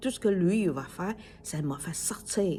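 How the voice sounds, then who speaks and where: A woman with a Chinese accent speaks at a moderate pace with lively intonation, her fairly low voice dark, mellow and somewhat breathy. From China. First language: Chinese (speaking French). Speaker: podcaster. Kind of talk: casual monologue. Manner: halting, many fillers.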